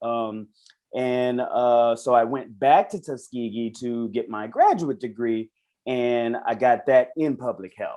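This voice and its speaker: Speaking at a very slow pace with a Southern US accent, a man keeps a medium pitch with ordinary pitch variation. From South Carolina, Orangeburg. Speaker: reality show contestant. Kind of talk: interview podcast. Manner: casual.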